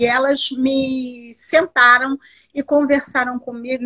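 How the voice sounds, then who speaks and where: This woman speaks at a high pitch. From Duque de Caxias, Rio de Janeiro, Brazil. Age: 60s. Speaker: artisan and entrepreneur. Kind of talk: interview.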